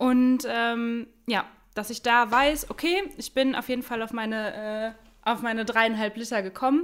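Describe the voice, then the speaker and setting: Speaking fairly slowly, a woman uses a plain, everyday voice pitched fairly high. Her pitch varies in an ordinary way. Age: 20s. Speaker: beautician, coaching client. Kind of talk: casual interview.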